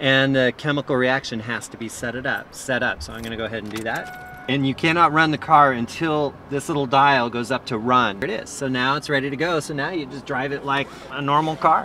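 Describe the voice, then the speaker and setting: Against light background noise, a man speaks at a fairly quick pace with ordinary pitch variation and hardly any pauses, the sound dry with no echo. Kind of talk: informal explanation during a ride. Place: car. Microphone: phone near.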